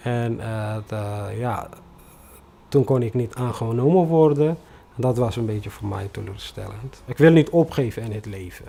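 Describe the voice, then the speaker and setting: With a non-native accent, a man speaks at a medium pitch with ordinary pitch variation and big swings in loudness. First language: non-Dutch (speaking Dutch). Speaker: refugee newcomer, bus driver. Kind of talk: personal testimony interview. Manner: halting, many hesitations.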